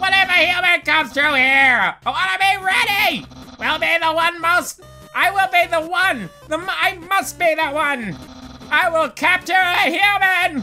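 A man's put-on character voice, theatrical in tone, at a moderate pace over clear background music. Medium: dub. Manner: loud, shouty, theatrical.

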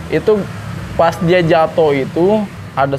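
Fairly slow speech with a Jakarta accent, ordinary pitch variation and light background noise. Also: man. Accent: Jakarta Betawi-style colloquial Indonesian. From Jakarta, Indonesia. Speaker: former vocational school student telling brawl stories. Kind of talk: casual storytelling interview. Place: cafe.

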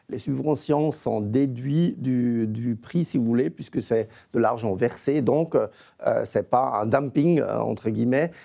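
In a quiet setting, a man talks fairly slowly. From eastern Switzerland near Austria. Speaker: federal price regulator; guest. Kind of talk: TV panel debate. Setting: remote video link from Bern. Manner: halting, many repetitions. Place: studio. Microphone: lapel.

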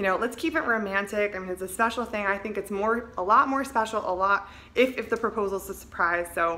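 The tone is bright and sharp, with ordinary pitch variation at a fairly quick pace. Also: woman. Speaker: vlogger giving advice. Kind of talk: casual vlog chat. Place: home room. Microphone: phone near.

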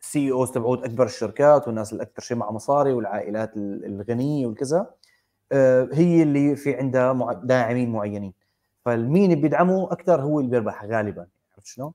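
Against a quiet background, a man talks at a fairly quick pace in a medium pitch with a dark, mellow tone, ordinary pitch variation and big swings in loudness. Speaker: podcast co-host. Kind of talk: casual chat. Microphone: earbuds.

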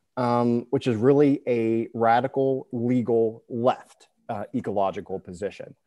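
The voice has an American accent and a dark, mellow tone over a quiet background. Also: man. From West Virginia, north central. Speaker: author and law librarian; interviewee. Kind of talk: interview. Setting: video call. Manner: hesitant, many fillers and repetitions. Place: home room. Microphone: earbuds.

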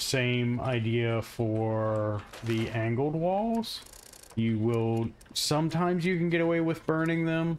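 Speaking with an American accent at a very slow pace, a man of medium pitch uses lively intonation. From Florida. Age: 30s. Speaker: gaming content creator. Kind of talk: casual gameplay tutorial. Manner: casual, hesitant.

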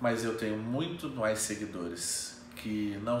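Male speech in a room with audible echo, light noise in the background. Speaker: fitness influencer. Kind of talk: casual vlog chat. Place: home room. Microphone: camera far.

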